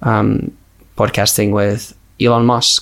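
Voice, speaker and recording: A man with a Finnish accent talks in a monotone, flat intonation. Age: 20s. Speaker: podcast host. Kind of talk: casual interview conversation. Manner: halting, filler-heavy.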